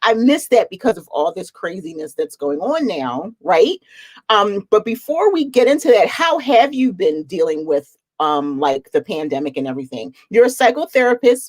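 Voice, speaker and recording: A woman's medium-pitched voice with a slight Philadelphia accent, vocal fry and very wide pitch swings, at a moderate pace in a dry, close sound with no echo. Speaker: reseller, channel host. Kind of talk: casual chat. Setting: live stream video call.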